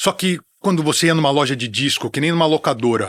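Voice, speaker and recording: In a very clean recording with a silent background and a dry, close sound with no echo, a man with a fairly high pitch talks at a fairly quick pace in an ordinary speaking voice, with ordinary pitch variation. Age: 60s. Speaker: music TV presenter and metal commentator. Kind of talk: casual chat.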